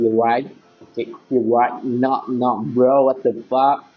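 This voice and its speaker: A man with a non-native accent at a very slow pace, music in the background. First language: not Indonesian (speaking Indonesian). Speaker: gaming youtuber. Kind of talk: gameplay commentary. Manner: animated.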